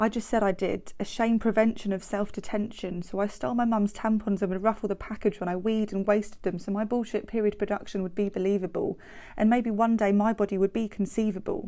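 Speaking with a British accent at a very fast pace and hardly any pauses, a woman at medium pitch has a dark, mellow tone and monotone, flat intonation, in a very clean recording with a silent background. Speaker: podcast host with MRKH sharing her story. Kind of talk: spoken word poetry, reflective and personal. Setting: podcast recording. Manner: measured, rhythmic, emotive poetic delivery.

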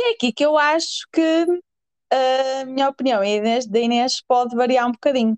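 The sound is dry and close with no echo as a woman speaks at a high pitch. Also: ordinary pitch variation, moderate pace. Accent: northern Portuguese. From northern Portugal. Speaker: podcast co-host. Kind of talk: casual chat.

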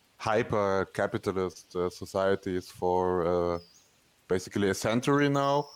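On a very clean recording with a silent background, a man with a non-native accent speaks at a moderate pace in a fairly low pitch. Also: ordinary pitch variation. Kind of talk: podcast conversation. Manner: hesitant, many fillers.

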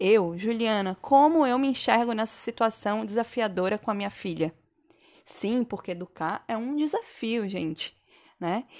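A woman with an ordinary speaking voice talks at a fairly high pitch and fairly slow pace. Her pitch variation is ordinary, and the background is quiet. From Santa Catarina, southern Brazil. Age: 30s. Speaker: podcast host, physiotherapist and mother. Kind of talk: personal monologue podcast. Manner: casual, conversational.

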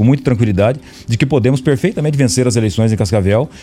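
Music plays in the background. Over it, a man speaks with lively intonation. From Paraná, Brazil. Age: 40s. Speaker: politician. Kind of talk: radio interview. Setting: radio studio.

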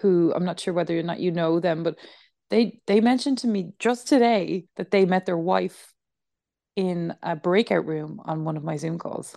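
A woman's dark, mellow tone with an Irish accent. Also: quiet background. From Ireland. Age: 30s. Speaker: high school teacher and yoga nidra guide. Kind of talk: casual chat. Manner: halting.

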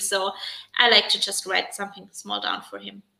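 A woman speaks with a German accent. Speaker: stay-at-home mom and new YouTuber. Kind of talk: casual live chat interview. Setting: live stream.

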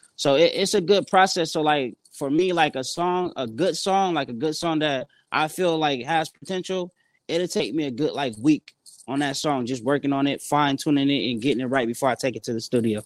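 In an American accent, a man talks at a fairly quick pace with a fairly high pitch and ordinary pitch variation. The recording is very clean, with a silent background and a dry, close sound with no echo. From San Bernardino, California. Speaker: rapper. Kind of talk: interview. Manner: casual, filler-heavy.

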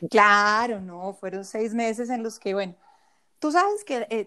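Here is a woman with an unremarkable speaking voice and a fairly high pitch. She speaks at a fairly slow pace with ordinary pitch variation. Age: 40s. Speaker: personal finance coach and former investment advisor. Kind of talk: interview conversation.

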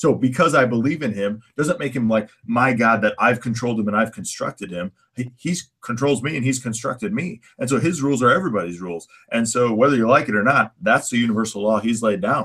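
A man's ordinary speaking voice at medium pitch, fairly quick pace with hardly any pauses. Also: lively intonation. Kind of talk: casual chat.

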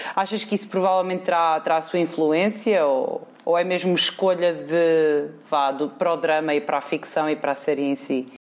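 In a European Portuguese accent, a woman speaks at a moderate pace, her fairly low pitch varying in an ordinary way and her loudness very even. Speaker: podcast host. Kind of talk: casual chat.

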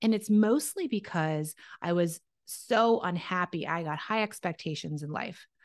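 In a quiet background, a woman with an unremarkable speaking voice talks at a fairly slow pace and a fairly low pitch, with ordinary pitch variation. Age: 30s. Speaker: entrepreneur and former dietitian. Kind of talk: casual interview.

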